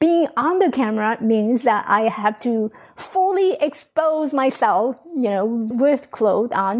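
A woman speaks at a very slow pace with hardly any pauses. Her high pitch carries lively intonation. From Taiwan. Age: 40s. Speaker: life coach. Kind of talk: podcast interview.

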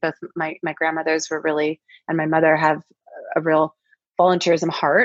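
A dry, close sound with no echo and an American accent. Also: woman. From US Pacific Northwest (Kirkland/Seattle, Washington). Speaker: executive coach. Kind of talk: interview.

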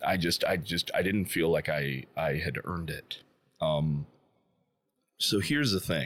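In a very deep, low voice with vocal fry, a man talks at a fairly slow pace with ordinary pitch variation and long, frequent pauses. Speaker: veteran, guitar program graduate. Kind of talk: interview.

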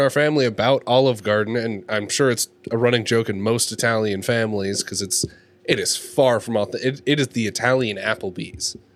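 A man in a plain, everyday voice, medium in pitch, at a fairly quick pace. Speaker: podcast co-host. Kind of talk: casual chat.

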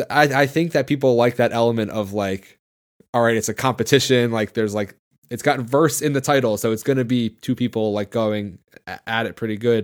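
A man's ordinary speaking voice at a fairly quick pace, fairly even intonation, on a very clean recording with a silent background. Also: medium pitch for a man. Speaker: podcast host, jiu-jitsu brown belt, former MMA fighter. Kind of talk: podcast hosting, ad read and conversation.

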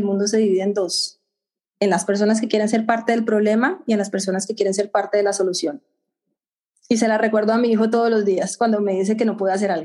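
A woman speaks with a fairly high pitch and fairly even intonation. Her loudness stays very even. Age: middle-aged. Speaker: infectious disease physician. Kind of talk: interview. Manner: halting.

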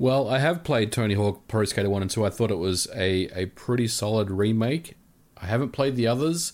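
An ordinary speaking voice from a man, medium in pitch with ordinary pitch variation, at a fairly quick pace in a very clean recording with a silent background. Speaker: co-host, gaming commentator. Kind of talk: casual chat, gaming podcast.

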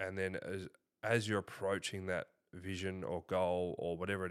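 In an Australian accent, a man with a very deep, low pitch speaks with fairly even intonation on a very clean recording with a silent background. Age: 20s. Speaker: business founder and CEO. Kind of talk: casual interview.

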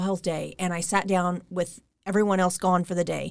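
A woman's medium-pitched voice with an American accent. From US Midwest, Kansas (Derby, Wichita). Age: 40s. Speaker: energy healer. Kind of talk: interview.

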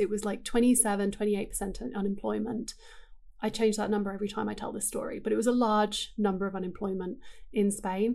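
Her voice set at a medium pitch, a woman with an English accent speaks in a monotone, flat intonation with vocal fry. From England. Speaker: digital marketing writer. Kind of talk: casual interview chat. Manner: laughs often.

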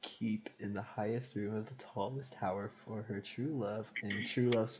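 Someone reads a passage aloud, using a natural voice.

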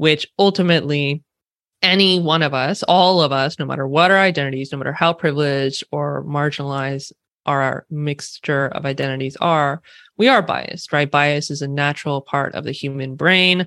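Someone with a Californian accent talks at a moderate pace against a quiet background. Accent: Californian West Coast. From California, US West Coast. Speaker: diversity and inclusion consultant. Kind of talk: interview conversation. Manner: casual, uses filler like 'like'.

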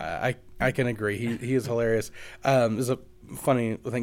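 This man talks at a fairly quick pace in a Kentucky accent. His pitch is medium and his intonation fairly even. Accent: Kentucky Southern. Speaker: podcast host. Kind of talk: casual interview.

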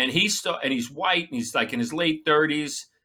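On a very clean recording with a silent background, a man with a New York accent talks fairly quickly in a bright, sharp tone at a fairly high pitch. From Long Island, New York. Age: 50s. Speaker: comedian and former police officer. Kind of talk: casual chat.

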